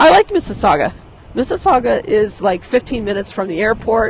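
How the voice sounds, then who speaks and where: A woman talks with very wide swings in pitch at a moderate pace, her voice fairly high, while noticeable background noise carries on. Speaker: live streamer. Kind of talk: casual talk to camera. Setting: outdoors, windy street.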